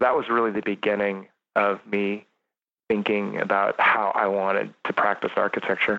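Speaking at a moderate pace with an American accent, a man has a fairly low pitch, a bright, sharp tone and monotone, flat intonation. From rural California (Sierra foothills, San Joaquin Valley). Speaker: architect. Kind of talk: interview conversation.

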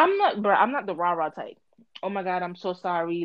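Lively intonation and an animated tone mark a woman speaking at a fairly quick pace. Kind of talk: casual chat.

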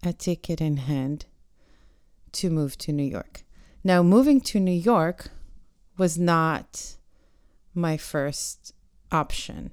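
Very slow delivery with ordinary pitch variation. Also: woman. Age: 40s. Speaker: podcaster. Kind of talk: solo monologue. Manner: reflective, hesitant with fillers.

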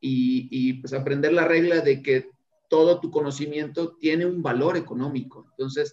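An ordinary speaking voice from a man, fairly high in pitch, with fairly even intonation and a moderate pace. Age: 40s. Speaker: tech business owner. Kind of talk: interview.

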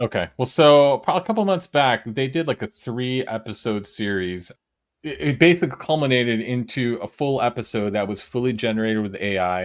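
With an American accent and an ordinary speaking voice, a man speaks at a moderate pace with lively intonation on a very clean recording with a silent background. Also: medium pitch for a man. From US Midwest. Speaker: podcast host. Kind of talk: casual interview chat.

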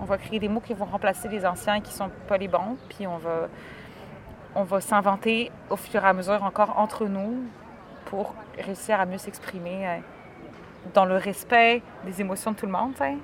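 With a Quebec accent, the speaker goes at a moderate pace with fairly even intonation and long, frequent pauses over noticeable background noise. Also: woman, medium pitch for a woman. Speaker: podcast host. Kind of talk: casual chat. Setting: outdoors in a park.

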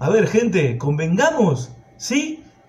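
A man speaks with a high pitch in a Rioplatense accent. Audible room echo and noticeable background noise surround him. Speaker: preacher. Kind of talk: sermon.

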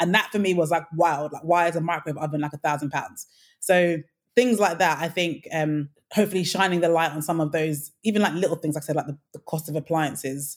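On a very clean recording with a silent background, a woman with a London accent talks at a very fast pace and a fairly low pitch. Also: fairly even intonation. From Nigeria. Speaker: home renovation influencer. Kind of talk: casual interview.

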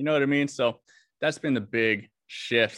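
A man with a normal speaking voice talks at a moderate pace with ordinary pitch variation in a very clean recording against a silent background. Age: 20s. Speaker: business owner. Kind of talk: coaching conversation.

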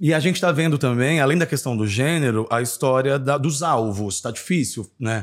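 The recording is very clean with a silent background, and a man speaks at medium pitch with lively intonation. His is a normal speaking voice at a moderate pace. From Brasília, Brazil. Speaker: podcast host. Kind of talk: casual chat.

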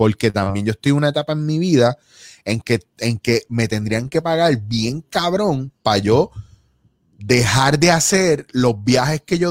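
With a Puerto Rican accent, a man speaks at a medium pitch and swings it very widely. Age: 40s. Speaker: actor and improv comedian. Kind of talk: casual chat.

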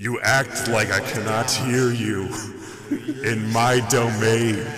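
A man puts on a booming character voice at a very slow pace. His intonation is monotone and flat, and the sound carries an audible echo. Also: medium pitch for a man. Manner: imposing, commanding.

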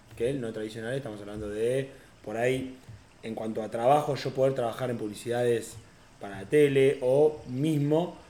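A man speaks with an Argentine accent. His tone is dark and mellow, and his pace is moderate. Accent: Rioplatense Argentine Spanish. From Argentina, Tandil (Buenos Aires province). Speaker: content creator. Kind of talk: casual chat. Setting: home apartment recording.

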